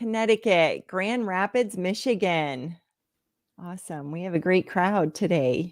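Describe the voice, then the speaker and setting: A woman has a normal speaking voice at medium pitch, with an American accent. She speaks at a fairly slow pace with big swings in loudness. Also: ordinary pitch variation. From northwest Pennsylvania. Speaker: health coach. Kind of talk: live stream Q&A. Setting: live stream.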